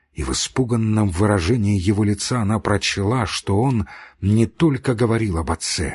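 The voice heard here is a natural reading voice. Nothing else about it changes.

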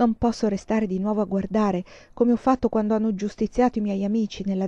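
Fairly even intonation in plain reading aloud

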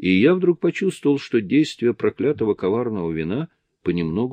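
Quiet surroundings and an unforced reading voice.

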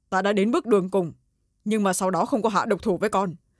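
Reading aloud in a natural voice, fairly even intonation, and a quiet background.

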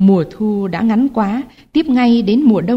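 This is plain reading aloud, and the pitch rises and falls in an ordinary way.

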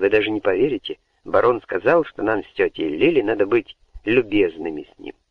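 The background stays quiet. A passage is read aloud in a natural voice.

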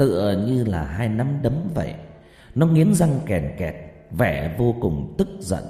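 Someone reads a text out loud. The voice sounds natural.

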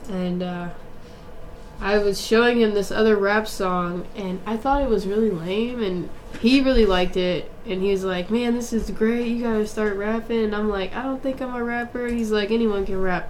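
Against noticeable background noise, a woman speaks at a moderate pace with a fairly high pitch. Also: fairly even intonation. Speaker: singer-songwriter. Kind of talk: interview, casual chat. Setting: studio. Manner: soft-spoken.

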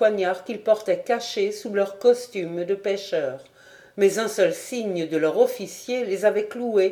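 Someone reads the words aloud in a plain way.

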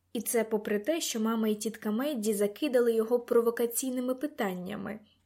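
Someone is reading aloud in a natural voice, and the intonation stays fairly even.

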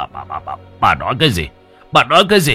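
Doing a put-on character voice, a man speaks at a fast pace with a fairly low pitch, a bright, sharp tone, a slightly husky edge and very wide pitch swings, with faint music in the background.

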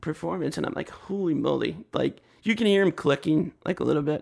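This is a man with a normal speaking voice. His intonation is lively and his pace fairly quick. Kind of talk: casual chat.

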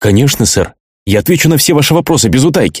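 Putting on a raspy, shaky character voice at a medium pitch, a man races along at a very fast pace with very wide pitch swings. His loudness stays very even, and the recording is very clean with a silent background. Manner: submissive, rattling off.

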